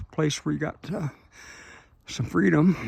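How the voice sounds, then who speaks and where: A man's fairly high voice with vocal fry and very wide pitch swings. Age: 70s. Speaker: retired-age tractor contractor and vlogger. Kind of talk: casual video walkthrough monologue. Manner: halting, with fillers.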